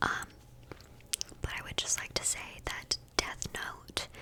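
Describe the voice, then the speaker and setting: A woman whispers fairly slowly, and noticeable background noise can be heard too. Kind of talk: ASMR fact video, calm relaxing narration; casual chatty rambling with asides. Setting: close microphone, studio. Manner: whispered.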